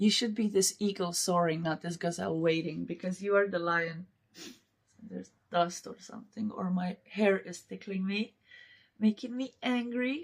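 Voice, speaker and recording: A somewhat breathy woman's voice at a moderate pace, with ordinary pitch variation and big swings in loudness. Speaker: tarot reader. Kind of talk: tarot reading.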